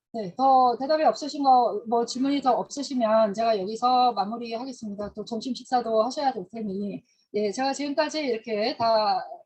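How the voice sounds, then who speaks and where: In a normal speaking voice, a woman talks at a moderate pace, her fairly high pitch carried by lively intonation. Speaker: history lecturer. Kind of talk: lecture.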